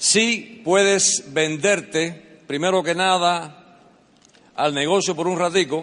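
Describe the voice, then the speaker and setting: A high pitch from a man, with ordinary pitch variation. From Cuban family, born in the US. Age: 60s. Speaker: business motivational speaker. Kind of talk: motivational speech. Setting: stage with audience. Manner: animated.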